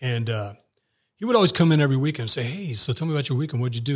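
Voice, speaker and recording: A man speaks with an American accent, his voice somewhat breathy and his pitch varying in an ordinary way. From Texas, El Paso. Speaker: intelligence analyst and military veteran. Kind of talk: interview.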